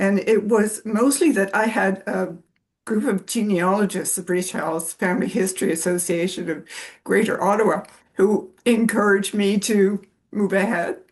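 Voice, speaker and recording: In a Canadian accent, a woman has an ordinary speaking voice at medium pitch, with ordinary pitch variation and a moderate pace. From Canada. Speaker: genealogy researcher. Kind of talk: panel discussion.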